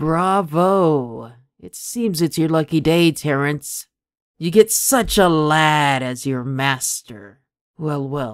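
A man does a put-on character voice at a fairly high pitch in a very clean recording with a silent background. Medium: solo performance. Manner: cold, commanding.

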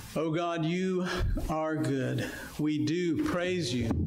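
With fairly even intonation, a man speaks at a very slow pace amid light background noise and audible room echo. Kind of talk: public prayer. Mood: reverent, earnest. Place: church.

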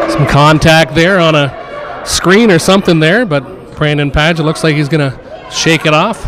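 Noticeable background noise sits under a man's voice. His pitch is fairly high, with ordinary variation. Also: fairly slow pace, very even loudness. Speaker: color commentator. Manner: casual, analytical, with filler hesitations.

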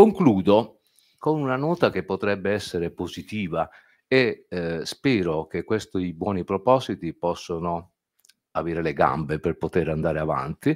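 A man speaks with lively intonation. His pitch is very deep and low. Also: fairly slow pace, quiet background. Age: 60s. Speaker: ophthalmologist; speaker. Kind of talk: panel talk. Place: meeting room. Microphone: podium.

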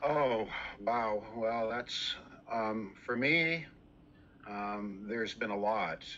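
At a very slow pace with long, frequent pauses, a man speaks at medium pitch in a bright, sharp tone with ordinary pitch variation over light background noise. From Canada. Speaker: bass instructor. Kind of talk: interview. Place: home room. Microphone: video call.

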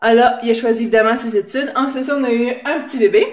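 A woman speaks fairly quickly in a fairly high voice. Her intonation is fairly even, and the background is quiet. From Quebec. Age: 20s. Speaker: game show applicant. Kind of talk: audition video; casual vlog chat. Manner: hesitant, many fillers. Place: home room. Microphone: phone near.

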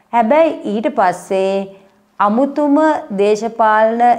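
Against a quiet background, a woman speaks at a fairly high pitch with ordinary pitch variation. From Sri Lanka. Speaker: history YouTuber. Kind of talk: educational monologue. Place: home room.

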